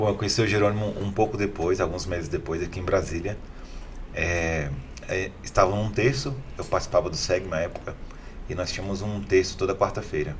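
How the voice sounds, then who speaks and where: Amid audible room echo, a man talks at a fairly quick pace and a fairly low pitch, with ordinary pitch variation. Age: 30s. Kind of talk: interview.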